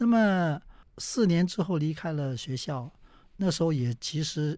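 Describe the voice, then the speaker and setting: A man's high-pitched voice at a very slow pace, in a very clean recording with a silent background. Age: 70s. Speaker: veteran stage actor. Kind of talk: interview.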